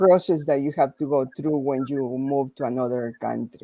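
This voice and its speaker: A woman speaks with a Spanish accent. Her tone is dark and mellow. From Peru. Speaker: physical therapist. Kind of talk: panel discussion. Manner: slow.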